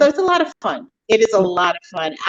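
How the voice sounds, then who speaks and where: An ordinary speaking voice from a woman, fairly high in pitch, with lively intonation, a moderate pace, and a dry, close sound with no echo. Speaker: author. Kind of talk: casual interview chat.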